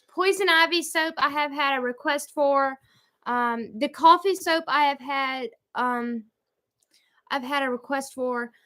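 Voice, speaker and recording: In a Southern US accent, a woman with a high pitch raises and projects her voice in a bright, sharp tone, using ordinary pitch variation at a fairly slow pace on a very clean recording with a silent background. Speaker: homestead vlogger. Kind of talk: livestream chat, reading viewer comments. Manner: halting, stumbling when reading.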